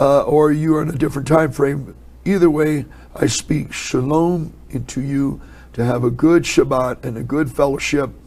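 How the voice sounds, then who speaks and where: The speaker keeps fairly even intonation at a moderate pace. Audible room echo surrounds the voice. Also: man, fairly high pitch for a man. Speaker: Bible teacher. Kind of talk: sermon. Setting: indoor upper room, cold.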